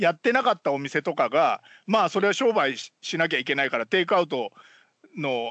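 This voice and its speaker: A man's high voice with very wide pitch swings and a fairly quick pace. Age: 50s. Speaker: podcast co-host. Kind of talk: casual chat. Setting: remote call.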